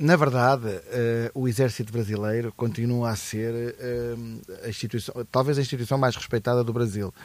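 Keeping a moderate pace, a man speaks at a medium pitch with fairly even intonation. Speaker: podcast co-host. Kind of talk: casual chat. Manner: halting.

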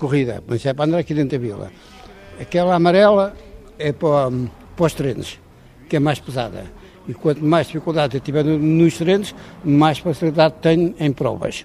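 There is noticeable background noise as a man talks at a fairly quick pace in a fairly high pitch, with ordinary pitch variation and long, frequent pauses. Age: 80s+. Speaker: retired cyclist, cycle tourist. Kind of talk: interview at home. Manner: halting.

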